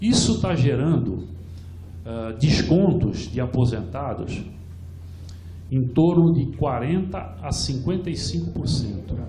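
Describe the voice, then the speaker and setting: Very slowly and with long, frequent pauses, a man speaks at medium pitch with very wide pitch swings, amid noticeable background noise and audible room echo. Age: 70s. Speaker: retired pension fund participant and activist speaker. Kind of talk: conference talk. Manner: halting, many repetitions.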